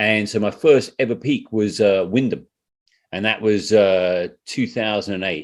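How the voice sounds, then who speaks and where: A man with a British accent talks at a fairly slow pace in a fairly low pitch, with ordinary pitch variation. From UK. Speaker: trail runner and hiker. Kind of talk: podcast interview. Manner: casual.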